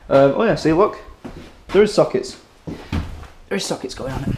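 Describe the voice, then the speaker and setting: Background noise is noticeable here. Over it, a man talks very fast. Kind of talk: casual vlog chat. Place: home room. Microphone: camera far.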